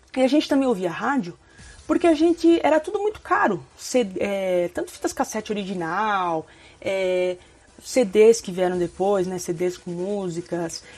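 This woman has a medium pitch and a fairly slow pace. Her pitch swings very widely. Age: 30s. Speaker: YouTuber. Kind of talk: casual vlog monologue.

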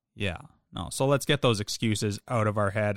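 A man at a very fast pace, with ordinary pitch variation and a dry, close sound with no echo, on a very clean recording over a silent background. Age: 30s. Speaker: fitness podcast co-host. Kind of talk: casual chat.

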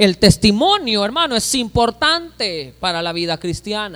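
Raising and projecting his voice, a man speaks at a fairly slow pace with lively intonation and a bright, sharp tone. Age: 30s. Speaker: pastor. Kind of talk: sermon.

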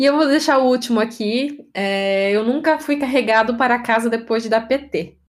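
A woman with an ordinary speaking voice talks at a fairly slow pace and fairly high pitch, with ordinary pitch variation and very even loudness. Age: 20s. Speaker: podcast host. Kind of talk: casual chat.

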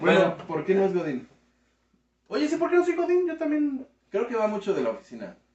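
A man with a high pitch, very wide pitch swings, a fairly quick pace, and long, frequent pauses. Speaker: youtuber. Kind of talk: casual chat.

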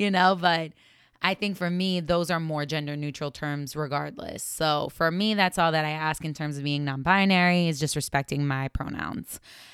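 On a very clean recording with a silent background, a woman with an American accent speaks at a moderate pace in a fairly low pitch, her tone bright, sharp and animated. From US, partly schooled in Venezuela. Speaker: podcast host. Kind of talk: casual monologue. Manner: animated, laughing.

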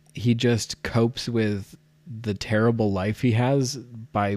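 This man talks at a very slow pace with fairly even intonation. The recording is very clean, and the background is silent. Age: 20s. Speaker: podcast co-host. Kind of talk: casual chat.

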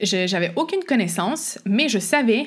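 A woman's fairly high voice with a Quebec accent, at a fairly slow pace, on a very clean recording with a silent background. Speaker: podcast host, hiking coach. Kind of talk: solo podcast monologue. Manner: casual with frequent fillers and laughs.

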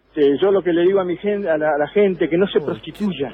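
A man's high voice at a very fast pace. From Argentina, Comodoro Rivadavia (Patagonia). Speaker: paranormal investigator and mayoral candidate. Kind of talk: phone interview. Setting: phone call from an airport.

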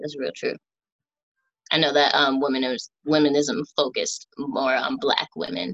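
At a moderate pace, a woman speaks in a very deep, low pitch with vocal fry and very wide pitch swings. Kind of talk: casual chat, podcast interview.

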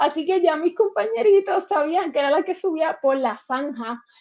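Lively intonation marks this woman's voice. She keeps to a moderate pace. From Puerto Rico, Guayama. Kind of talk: interview.

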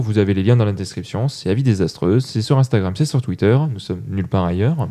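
This man's voice has a dark, mellow tone. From Toulouse, France. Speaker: podcast host. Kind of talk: casual chat. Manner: animated.

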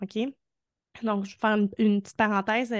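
With a Quebec accent, a woman speaks at a fairly quick pace in a fairly high pitch and a monotone, flat intonation, the sound dry and close with no echo over a quiet background. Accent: Québécois French. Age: 30s. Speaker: entrepreneur in the arts, mother. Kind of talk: casual interview.

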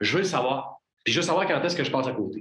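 With a Quebec accent, a man speaks in very wide pitch swings. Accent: Québécois French. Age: 40s. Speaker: business consultant and entrepreneur. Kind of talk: casual interview.

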